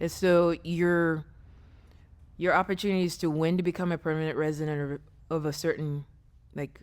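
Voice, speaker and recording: On a very clean recording with a silent background, a woman with a fairly low pitch speaks in a monotone, flat intonation with long, frequent pauses. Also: moderate pace. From Ghana, moved to Pennsylvania at 13. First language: Twi. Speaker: fitness coach. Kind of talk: casual interview chat.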